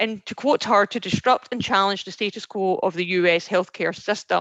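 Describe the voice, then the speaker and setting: A woman with a Scottish accent and a medium pitch speaks in fairly even intonation, the sound dry and close with no echo. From Scotland. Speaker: recruiter, veteran outreach specialist. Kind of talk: presentation. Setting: video call. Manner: fast.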